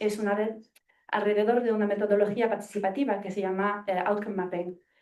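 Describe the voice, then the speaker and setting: A woman's fairly high-pitched voice with a dark, mellow tone. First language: not Spanish (speaking Spanish). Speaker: evaluation consultant in international aid. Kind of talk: audience question at seminar. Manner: halting.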